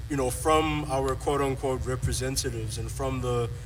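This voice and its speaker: Talking fairly slowly, the speaker is heard with clear background noise and an audible echo from the room. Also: man. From South Africa. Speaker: activist panelist. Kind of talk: panel discussion. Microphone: poor sound early in recording.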